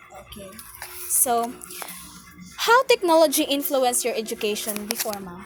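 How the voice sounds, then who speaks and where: Music plays in the background as a woman with a high pitch speaks at a moderate pace, her intonation lively and her pauses long and frequent. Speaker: student interviewer. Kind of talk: interview.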